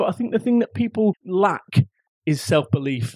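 A man with a Mancunian accent has an animated tone and very wide pitch swings. The sound is dry and close, without echo. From northern England, Salford, Manchester. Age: 40s. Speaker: motivational speaker and entrepreneur. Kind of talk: interview. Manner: animated, blunt.

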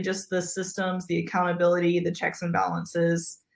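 In an American accent, the speaker uses a normal speaking voice at a moderate pace. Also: woman. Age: 30s. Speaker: pastor. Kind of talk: casual interview conversation.

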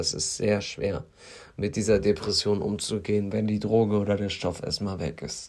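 Moderate pace and fairly even intonation from a man with a fairly low pitch. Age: 20s. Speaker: podcaster in addiction recovery. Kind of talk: personal monologue.

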